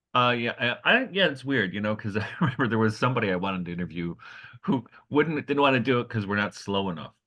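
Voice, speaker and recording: A man with an American accent talks very fast at a medium pitch, bright and sharp in tone with lively intonation. The background is quiet. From US, Detroit. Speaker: podcast co-host and teacher. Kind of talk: casual chat.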